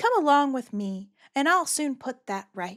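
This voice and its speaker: A high-pitched, put-on character voice from a woman, swinging very widely in pitch. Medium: virtual streamer.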